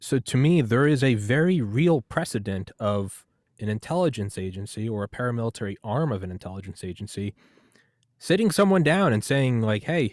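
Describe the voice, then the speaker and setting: Very wide pitch swings mark this voice in an American accent at a moderate pace. The sound is dry and close with no echo, on a very clean recording with a silent background. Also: man. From United States. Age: 30s. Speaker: podcast host. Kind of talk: casual interview.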